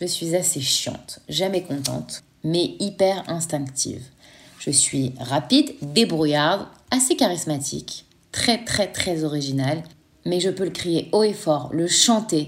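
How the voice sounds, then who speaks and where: Her intonation lively, a woman speaks very slowly at a fairly low pitch. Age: 30s. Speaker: podcast host and parenting coach. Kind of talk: personal testimony.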